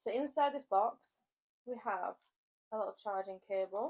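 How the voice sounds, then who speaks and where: Speaking at a moderate pace with an English accent, this voice has lively intonation and long, frequent pauses. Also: woman. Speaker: motorcycle vlogger. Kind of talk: product review vlog. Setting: indoors, mic on a table. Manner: loud; animated.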